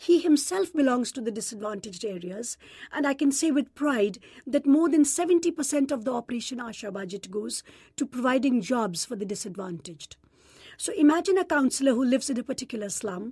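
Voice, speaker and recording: The speaker has a dark, mellow tone and an Indian accent. Pitch swings very widely. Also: woman, high pitch for a woman, fairly quick pace. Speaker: gynecologist and nonprofit president. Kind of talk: interview.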